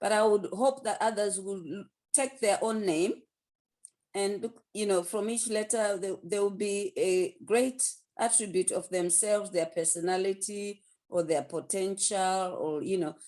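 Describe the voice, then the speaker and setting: This woman's dark, mellow tone comes at a fairly slow pace. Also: medium pitch for a woman, ordinary pitch variation. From north London, Zimbabwean roots. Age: 60s. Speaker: author. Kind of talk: interview. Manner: halting.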